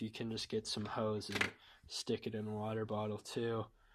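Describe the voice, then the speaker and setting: A man speaks at a moderate pace with a medium-pitched voice. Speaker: car DIY youtuber. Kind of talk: tutorial. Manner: casual.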